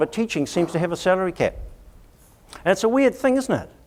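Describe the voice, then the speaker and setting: A man speaks with a New Zealand accent. His pitch is high. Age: 50s. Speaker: education consultant. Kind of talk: conference talk. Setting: stage with audience.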